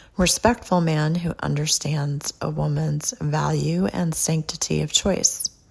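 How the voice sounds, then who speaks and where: Talking at a fairly slow pace with hardly any pauses, a woman comes through over noticeable background noise. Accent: American. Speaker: podcast host and author. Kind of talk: podcast monologue. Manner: laid-back.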